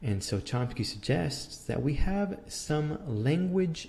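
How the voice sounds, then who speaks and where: A man with a Spanish accent speaks at a fairly slow pace in a dark, mellow, somewhat breathy tone, with lively intonation and audible room echo around him. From Mexico (Mexico City). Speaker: philosophy lecturer. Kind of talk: lecture. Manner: halting, many repetitions and fillers.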